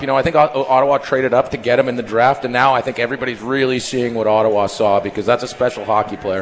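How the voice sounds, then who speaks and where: Over noticeable background noise, a man at medium pitch talks very fast with hardly any pauses and fairly even intonation. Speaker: former play-by-play announcer. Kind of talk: casual interview. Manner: conversational, relaxed.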